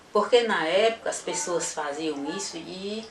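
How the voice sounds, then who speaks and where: In a room with audible echo, a woman speaks fairly slowly at a medium pitch. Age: 70s. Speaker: association founder, artisan. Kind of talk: interview testimony. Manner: halting.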